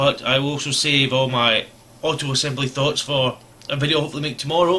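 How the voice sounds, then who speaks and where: Mumbling at a very fast pace with a Scottish accent, a man speaks at a fairly high pitch with fairly even intonation over noticeable background noise. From Scotland. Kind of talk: casual talk to camera. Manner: rambling, mumbling.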